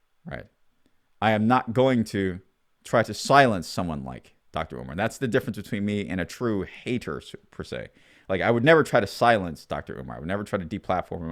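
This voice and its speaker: On a very clean recording with a silent background, a man with a very deep, low pitch talks at a fairly quick pace with lively intonation. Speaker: commentator, military veteran. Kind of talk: monologue commentary, freestyled. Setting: abroad in Europe, self-recorded video. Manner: halting, with false starts.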